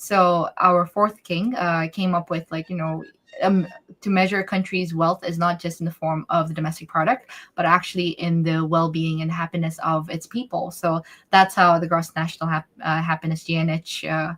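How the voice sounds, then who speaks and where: A woman with a Bhutanese accent speaks at a moderate pace in a monotone, flat way, with a fairly low pitch. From Bhutan, raised partly abroad (third culture kid). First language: Dzongkha. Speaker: interview guest. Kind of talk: live interview Q&A. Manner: halting, many fillers.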